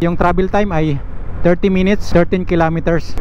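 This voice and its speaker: Noticeable background noise is heard behind a man. He talks at a moderate pace with ordinary pitch variation. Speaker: motovlogger. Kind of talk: motorcycle vlog narration. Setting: riding a motorcycle outdoors. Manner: casual, halting with fillers.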